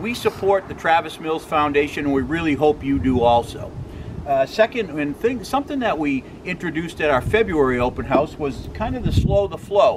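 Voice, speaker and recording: A man talks at a fairly quick pace as noticeable background noise runs beneath him. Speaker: presenter. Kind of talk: promotional vlog talk. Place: street. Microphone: camera far.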